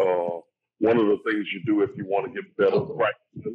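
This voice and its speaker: A man talks in a Southern US accent. His pace is fairly slow. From Louisiana. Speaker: actor. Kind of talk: casual chat. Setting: video call.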